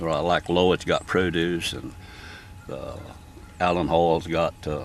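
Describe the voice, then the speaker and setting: Very deep and low, a man's voice moves at a very slow pace with a Southern US accent. His intonation is monotone and flat. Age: 70s. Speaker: farmer. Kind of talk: casual interview. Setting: outdoors in a turnip patch.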